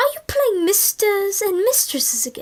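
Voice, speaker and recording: Doing a put-on character voice, a woman sounds squeaky at an extremely high pitch and a moderate pace. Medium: read story. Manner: warm, affectionate.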